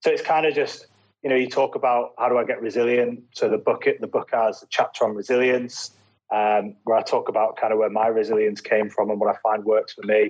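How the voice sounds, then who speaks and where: Speaking at a fairly quick pace, a man talks with a Lancashire accent. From northern England, Preston, Lancashire. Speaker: former special forces soldier turned racing driver. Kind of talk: casual interview. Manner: hesitant, filler-heavy.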